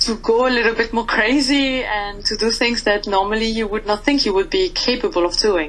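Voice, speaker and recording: A woman with a French accent speaks at a fairly high pitch and a fairly quick pace. She leaves hardly any pauses, and noticeable background noise sits behind her. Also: lively intonation. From France. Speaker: metal band vocalist. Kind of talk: interview.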